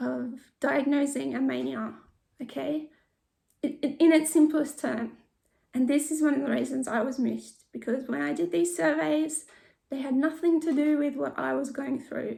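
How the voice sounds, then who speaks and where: A woman talks in an Australian accent at a fairly slow pace. She leaves long, frequent pauses. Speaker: mental health vlogger sharing lived experience. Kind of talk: informational talk with personal testimony. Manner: hesitant, with repeated words.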